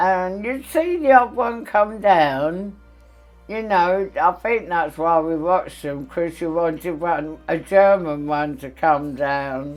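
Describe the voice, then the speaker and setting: Music sits in the background as a woman talks with a London accent. Her fairly low voice goes very slowly, with lively intonation. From London, England. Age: 80s+. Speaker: war evacuee eyewitness. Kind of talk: interview testimony.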